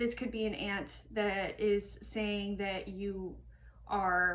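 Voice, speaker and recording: A woman speaks at a very slow pace amid audible room echo. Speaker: tarot reader. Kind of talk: tarot reading monologue. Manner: halting.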